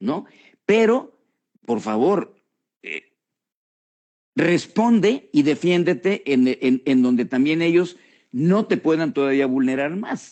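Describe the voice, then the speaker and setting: A man with a fairly high pitch talks at a very slow pace, with very wide pitch swings and long, frequent pauses. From Mexico. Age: 70s. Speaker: political commentator. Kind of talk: casual chat. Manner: halting.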